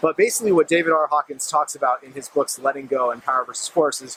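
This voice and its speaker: This man talks at a very fast pace in a fairly high voice. The sound is dry and close with no echo, though background noise is noticeable. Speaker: meditation and self-help vlogger. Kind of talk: casual talk to camera. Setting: outdoors at sunset, filmed by a friend.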